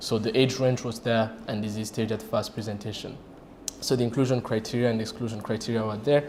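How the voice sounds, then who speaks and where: With noticeable background noise and audible room echo, a man speaks at a medium pitch in a flat monotone. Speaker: radiation oncologist. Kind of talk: conference presentation. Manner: halting.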